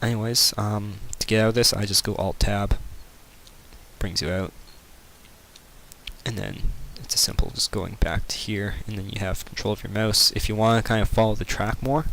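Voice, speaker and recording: This man has an unremarkable speaking voice, fairly low in pitch, with fairly even intonation at a fairly quick speed. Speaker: video game modding tutorial maker. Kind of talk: screen-recorded tutorial. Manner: casual, filler-heavy.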